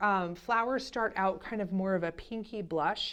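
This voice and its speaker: A woman speaks at a moderate pace in a medium pitch with ordinary pitch variation. The background is quiet. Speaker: flower farmer. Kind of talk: casual garden tour. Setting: outdoors in fading light. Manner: animated.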